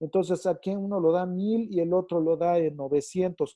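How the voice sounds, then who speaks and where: With a Mexican accent, a man speaks at a moderate pace in a high pitch, his intonation monotone and flat. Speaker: teacher. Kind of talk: online lecture. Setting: video call with screen share. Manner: halting with fillers.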